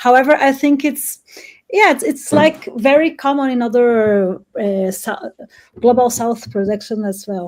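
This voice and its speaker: A woman with a Portuguese accent speaks at a fairly slow pace in a high pitch, her intonation lively. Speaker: writer. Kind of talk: panel discussion.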